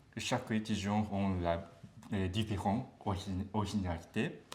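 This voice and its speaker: Audible room echo surrounds a man's fairly low voice. He speaks with a Japanese accent. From Japan, Beppu (Kyushu). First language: Japanese (speaking French). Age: 30s. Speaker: language student. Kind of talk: interview. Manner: halting.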